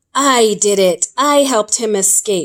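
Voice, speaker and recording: A woman speaks in a put-on character voice, fairly high-pitched and delivered at a fairly slow pace. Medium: read story.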